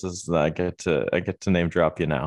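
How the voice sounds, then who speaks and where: A man with a Canadian accent at a moderate pace, against a quiet background. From Ontario, Waterloo. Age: 20s. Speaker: college soccer goalkeeper. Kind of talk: casual chat.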